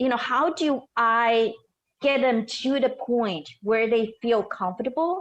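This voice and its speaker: A woman speaks with a slight non-native accent at a high pitch. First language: not English. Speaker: storyteller and show host. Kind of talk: podcast interview.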